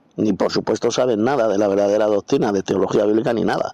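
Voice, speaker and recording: A man is speaking. His pace is moderate. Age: 60s. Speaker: Bible teacher. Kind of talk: Bible commentary lecture. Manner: spontaneous, unscripted.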